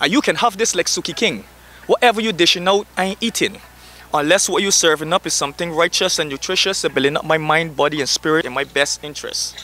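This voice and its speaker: A man talks very fast in a high voice with ordinary pitch variation. The sound is dry and close with no echo, though noticeable background noise is present. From Barbados. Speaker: spoken word artist. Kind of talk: spoken word poetry performance.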